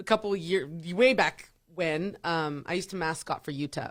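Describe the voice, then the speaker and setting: An animated tone comes through in this voice with an American accent. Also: woman, very clean recording, silent background. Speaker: radio DJ. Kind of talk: casual chat.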